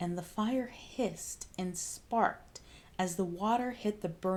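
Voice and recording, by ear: Pitch moves with ordinary variation. The speaker is reading aloud in a natural voice.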